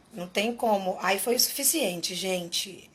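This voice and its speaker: Noticeable background noise runs through the clip. A woman speaks at a moderate pace. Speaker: singer. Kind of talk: testimony. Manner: halting.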